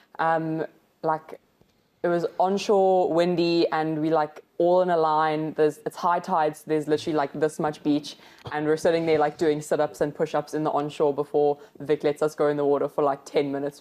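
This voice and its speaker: A woman speaks at a moderate pace with a very deep, low pitch. Her tone is dark and mellow. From South Africa, Cape Town (Fish Hoek). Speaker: competitive lifesaving athlete. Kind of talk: casual interview chat. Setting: studio.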